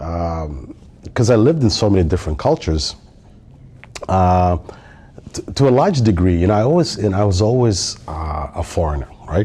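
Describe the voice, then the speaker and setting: A man with a Somali accent and a very deep, low pitch speaks at a moderate pace with lively intonation. He takes long, frequent pauses, and background noise is noticeable. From Somalia, raised across East Africa and Nigeria. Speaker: tech industry manager. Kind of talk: podcast interview. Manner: hesitant, many fillers and repetitions.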